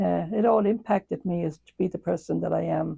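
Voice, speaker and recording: Against a quiet background, a woman speaks with a slight Irish accent. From Ireland. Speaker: nun and retired school principal. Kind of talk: interview. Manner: hesitant, many fillers.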